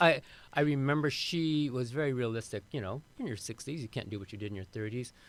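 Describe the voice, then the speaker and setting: A man's medium-pitched voice at a very fast pace with ordinary pitch variation. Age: 60s. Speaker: avian expert and author, former chemist. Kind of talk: podcast interview. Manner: halting, many repeated words and fillers.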